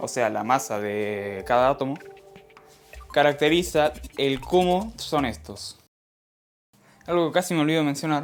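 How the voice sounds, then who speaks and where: With music in the background, a man speaks at a fairly slow pace in a fairly high pitch. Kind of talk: educational science explainer narration.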